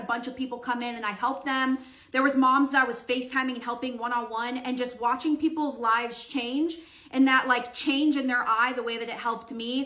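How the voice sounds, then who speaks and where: A woman speaks in a raised, projected voice at a high pitch and fairly quick pace. Room echo is audible. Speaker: social media creator on decluttering and routines. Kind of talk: storytime while doing her hair. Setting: at home doing her hair. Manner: loud.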